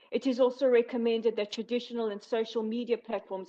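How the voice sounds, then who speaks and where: A woman speaks in a South African accent. The background is quiet. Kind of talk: prepared speech at a virtual meeting. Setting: virtual meeting. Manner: formal.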